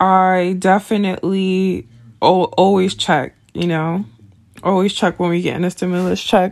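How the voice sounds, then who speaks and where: A woman with an unremarkable speaking voice and fairly even intonation. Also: medium pitch for a woman, fairly slow pace. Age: 20s. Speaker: podcast host. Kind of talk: casual monologue.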